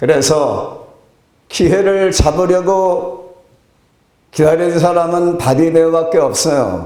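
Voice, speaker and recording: At a very slow pace, a man speaks at a high pitch with fairly even intonation and long, frequent pauses. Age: 70s. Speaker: pastor. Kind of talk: sermon.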